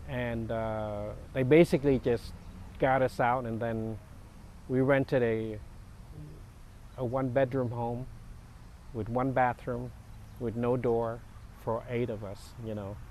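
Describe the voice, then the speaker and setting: The speaker has a Vietnamese accent and a fairly even intonation. The pace is fairly slow, with long, frequent pauses. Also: man, medium pitch for a man. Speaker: war refugee. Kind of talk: interview. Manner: halting.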